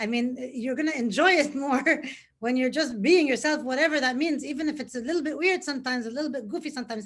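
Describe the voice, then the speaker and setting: A woman talks at a very fast pace. Her high-pitched voice shows ordinary pitch variation. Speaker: live show host. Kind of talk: live interview. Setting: Facebook live video.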